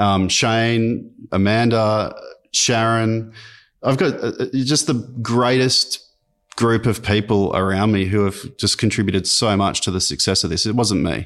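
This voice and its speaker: A man in an Australian accent, medium-pitched and fairly slow, his loudness very even, on a very clean recording with a silent background. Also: ordinary pitch variation. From Australia, Sydney and rural NSW. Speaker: tech company founder and CEO. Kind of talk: interview conversation.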